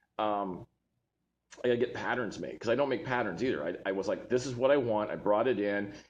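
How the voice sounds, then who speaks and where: A man speaks with an American accent. His pitch is fairly low, with ordinary pitch variation. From Texas. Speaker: online seller and designer. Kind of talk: live stream monologue. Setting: live video stream. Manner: animated.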